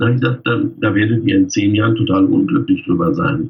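Somewhat breathy, a man's voice shows ordinary pitch variation. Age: 50s. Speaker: freelance wedding pastor. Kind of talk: casual interview.

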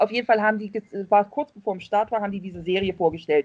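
A woman speaks at a very fast pace and a medium pitch, the sound dry and close with no echo. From East Germany. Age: 40s. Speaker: Facebook fan group admin. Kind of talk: casual chat.

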